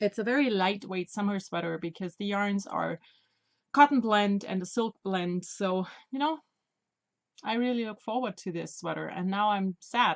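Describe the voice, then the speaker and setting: Dry and close with no echo, a woman's medium-pitched voice moves at a moderate pace with ordinary pitch variation. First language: not English. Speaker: knitting podcaster. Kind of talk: casual video podcast monologue. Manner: halting.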